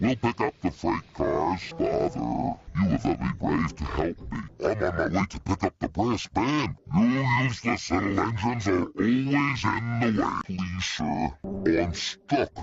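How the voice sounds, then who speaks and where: In a cartoonish character voice, a man speaks at a fairly low pitch. His pace is fairly slow, with hardly any pauses. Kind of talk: children's cartoon voice acting. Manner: varied character voices.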